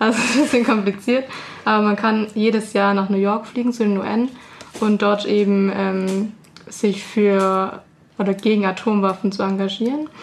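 Over noticeable background noise, a woman talks at a moderate pace and medium pitch, with fairly even intonation and very even loudness. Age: 20s. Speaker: peace activist. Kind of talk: radio interview. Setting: radio studio.

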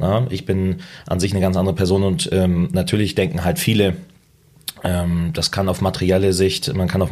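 At a moderate pace, a man talks in a very deep, low voice with ordinary pitch variation. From northern Germany. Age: 20s. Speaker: loan broker. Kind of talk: interview. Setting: in person.

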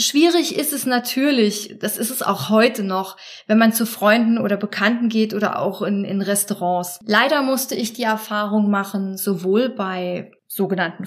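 A woman talks at a moderate pace in a fairly high, somewhat breathy voice with ordinary pitch variation. The recording is very clean with a silent background. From Germany, Trier. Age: 30s. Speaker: support group leader. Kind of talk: interview.

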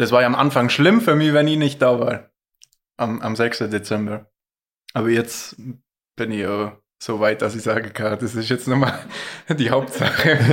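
At a moderate pace, a man speaks with ordinary pitch variation and long, frequent pauses. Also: medium pitch for a man. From Allgäu, Bad Hindelang area. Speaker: ski cross athlete. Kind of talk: casual chat.

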